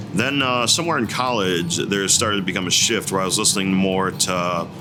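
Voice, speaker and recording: Speaking with an American accent, a man with a very deep, low voice keeps a moderate pace and ordinary pitch variation over background music and audible room echo. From Northwest Indiana, US Midwest. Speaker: singer-songwriter. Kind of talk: interview. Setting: in a bar. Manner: casual, hesitant with fillers.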